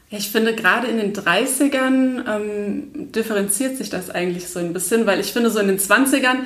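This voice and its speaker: A woman at a moderate pace with ordinary pitch variation, noticeable background noise and audible room echo. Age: 30s. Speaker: blogger and stress management trainer. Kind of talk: casual interview.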